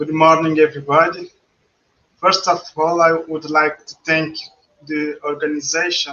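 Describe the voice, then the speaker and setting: With a Portuguese accent, a man with a fairly high pitch speaks in a monotone, flat way, leaving long, frequent pauses. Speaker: pharmaceutical regulator. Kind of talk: conference presentation. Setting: virtual conference studio. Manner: halting, many fillers and repeats.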